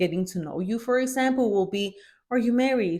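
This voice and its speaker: A woman speaks with ordinary pitch variation. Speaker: motivational vlogger. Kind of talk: motivational talk to camera. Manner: fast.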